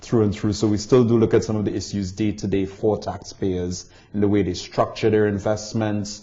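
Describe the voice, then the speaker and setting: A man speaks in a Caribbean accent at a moderate pace. His fairly low voice has a dark, mellow tone. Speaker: tax barrister and visiting lecturer. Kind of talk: interview. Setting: barristers' chambers in London.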